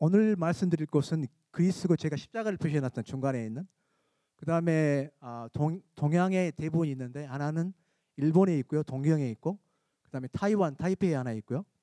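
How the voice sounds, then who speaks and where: A man's fairly high, dark, mellow voice at a fairly quick pace, with ordinary pitch variation, big swings in loudness and a dry, close sound with no echo. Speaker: church member presenting missions. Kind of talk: mission presentation. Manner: halting.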